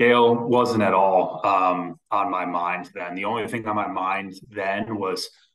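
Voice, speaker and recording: The voice has a bright, sharp tone and an American accent, with fairly even intonation over a quiet background. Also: man. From western Massachusetts. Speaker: real estate investor and home builder; podcast guest. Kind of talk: interview conversation. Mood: relaxed, reflective. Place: office. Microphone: video call.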